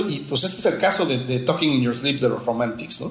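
A man speaks at a fairly quick pace. Audible room echo and noticeable background noise surround his voice. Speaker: podcast host. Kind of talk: casual chat. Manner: halting.

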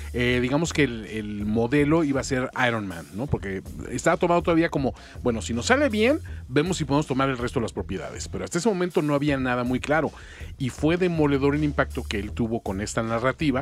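At a very fast pace, a man speaks at medium pitch with very wide pitch swings. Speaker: radio host. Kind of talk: casual chat. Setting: studio.

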